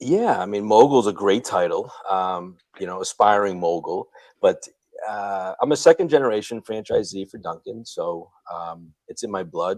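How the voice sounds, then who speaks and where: A man with a Boston accent speaks at a moderate pace and a fairly low pitch, with ordinary pitch variation. His loudness swings widely. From Boston, Massachusetts. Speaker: Dunkin' franchise owner and real estate investor. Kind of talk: podcast interview. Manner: relaxed, many fillers.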